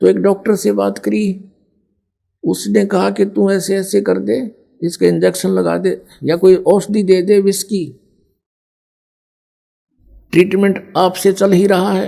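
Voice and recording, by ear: Slowly, with long, frequent pauses, a man speaks at a high pitch with vocal fry, little pitch movement and a dark, mellow tone.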